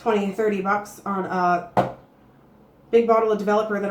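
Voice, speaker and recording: A woman's medium-pitched voice in a Canadian accent, with audible room echo and noticeable background noise. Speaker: beauty vlogger. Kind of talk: casual tutorial vlog. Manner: chatty, filler-heavy.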